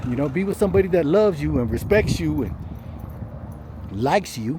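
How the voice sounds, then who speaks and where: This man talks at a fairly quick pace and a fairly high pitch, his voice moving in very wide pitch swings. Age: 60s. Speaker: vlogger. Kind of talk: casual monologue. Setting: self-recorded on camera. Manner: heavy breathing; casual, conversational.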